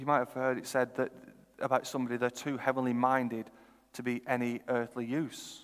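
A man speaks in a northern English accent at a fairly quick pace. His intonation is monotone and flat. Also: medium pitch for a man. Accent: northern English, noticed elsewhere. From northern England, Lancashire (Chorley). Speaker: preacher. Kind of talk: sermon.

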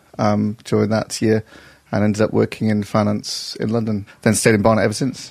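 With a slight northern English accent, a man speaks in monotone, flat intonation. His tone is slightly mellow, with vocal fry. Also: fairly low pitch for a man, moderate pace.

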